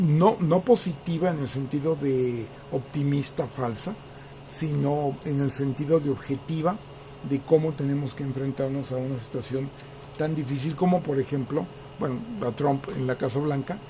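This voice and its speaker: A man's fairly high pitch with ordinary pitch variation at a moderate pace. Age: 60s. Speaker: political commentator. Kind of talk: political commentary monologue. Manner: hesitant, many fillers.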